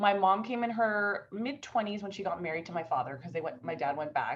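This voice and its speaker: A woman talks at a fairly quick pace with lively intonation and a somewhat breathy sound. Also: medium pitch for a woman. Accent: American. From Southern California, Orange County. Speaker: diversity and inclusion expert, entrepreneur. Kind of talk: interview conversation. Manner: fast.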